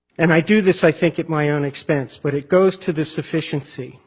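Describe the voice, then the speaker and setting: A man talks at a moderate pace in a fairly high, somewhat breathy voice. His intonation stays fairly even. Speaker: federal defender attorney. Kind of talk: appellate court oral argument.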